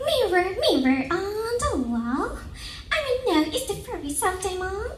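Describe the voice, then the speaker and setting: A woman uses a put-on character voice at an extremely high pitch, with very wide pitch swings. She goes at a fairly slow pace over clear background noise. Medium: read story. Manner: imperious.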